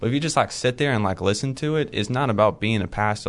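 In a plain, everyday voice, a man speaks at a fairly quick pace with ordinary pitch variation. The background is quiet. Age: young. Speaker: Bible college student. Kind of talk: casual interview.

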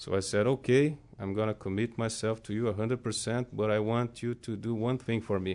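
Speaking with a Brazilian accent, a man keeps a medium pitch and fairly even intonation at a fairly quick pace, with hardly any pauses. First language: Portuguese. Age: 30s. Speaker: Bible school student. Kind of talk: testimony. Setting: studio.

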